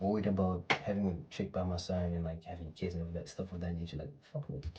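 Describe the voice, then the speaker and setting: A soft-spoken man with a very deep, low pitch and a dark, mellow tone, somewhat breathy, at a fairly quick pace with fairly even intonation. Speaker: motivational vlogger. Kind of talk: casual motivational monologue. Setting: at home. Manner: casual, slangy. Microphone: poor microphone quality.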